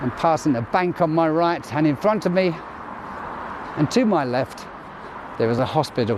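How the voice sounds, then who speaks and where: A man with fairly high pitch and lively intonation speaks at a moderate pace, his loudness very even. Long pauses come often, and background noise is noticeable. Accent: British. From UK. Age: 60s. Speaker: vlogger, military veteran. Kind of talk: walking vlog narration. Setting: outdoors at night, walking street. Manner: casual, conversational.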